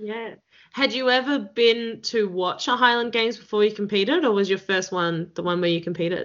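In an Australian accent, a woman speaks at a fairly quick pace in a fairly high pitch with ordinary pitch variation. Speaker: podcast host. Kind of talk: casual interview chat.

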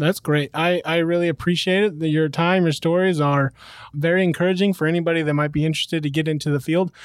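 A high-pitched man speaks very fast in a monotone, flat intonation at very even loudness. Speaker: podcast host. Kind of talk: interview. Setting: on location at a training school.

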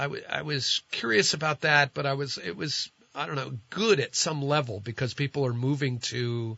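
The speaker has an unremarkable speaking voice with an American accent. Delivery comes at a moderate pace with ordinary pitch variation. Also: man. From New Jersey. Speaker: radio host. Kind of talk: conversational radio interview and call-in show. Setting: radio studio.

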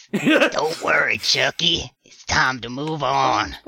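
In a raspy put-on character voice, the speaker talks at a very slow pace with a low-to-middle pitch.

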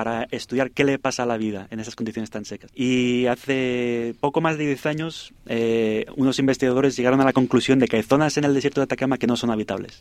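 At a very fast pace, a man with a medium pitch talks with fairly even intonation in a dry, close sound with no echo. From Spain. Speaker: astrobiologist. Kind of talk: radio interview.

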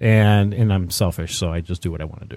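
An American accent from a man at a fairly low pitch, ordinary pitch variation, dry, close sound with no echo, and a very clean recording with a silent background. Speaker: podcast co-host. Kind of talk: casual chat.

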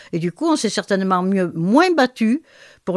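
A woman's medium-pitched voice at a moderate pace with very wide pitch swings, dry and close with no echo, in a very clean recording with a silent background. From Marseille, southern France. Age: 80s+. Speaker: linguist and author. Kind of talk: interview. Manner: hesitant, many fillers.

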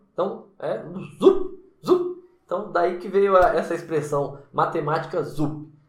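A man speaks at a very slow pace with long, frequent pauses, his loudness swinging widely amid audible room echo. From Brasília, Brazil. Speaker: math teacher and YouTuber. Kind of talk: casual vlog monologue. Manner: casual, frequent repetitions and fillers.

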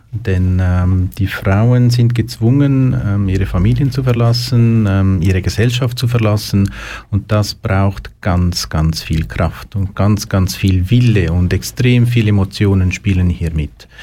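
A man with a fairly low pitch talks at a very slow pace with hardly any pauses. His intonation is lively and his loudness very even. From Switzerland, Lucerne. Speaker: youth emotional support worker. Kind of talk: interview. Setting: studio.

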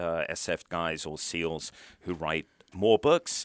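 A man's very deep, low voice with a British accent and ordinary pitch variation, dry and close with no echo on a very clean recording with a silent background. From United Kingdom. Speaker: retired military officer and author. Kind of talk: interview. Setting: studio.

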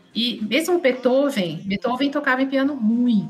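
Music is heard in the background. A woman talks with lively intonation. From Brazil, São Paulo city. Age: 50s. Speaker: pianist and businesswoman. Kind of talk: casual interview chat.

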